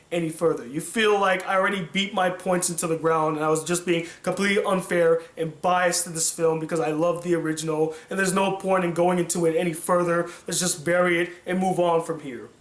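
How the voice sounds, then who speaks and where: A man with high pitch speaks in a monotone, flat way at a fairly quick pace with hardly any pauses, against noticeable background noise. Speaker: film critic youtuber. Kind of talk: video commentary.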